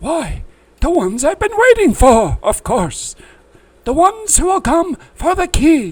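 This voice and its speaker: Putting on a character voice, a man speaks at an extremely high pitch with very wide pitch swings and a fairly slow pace. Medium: read story. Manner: excitable, scattered.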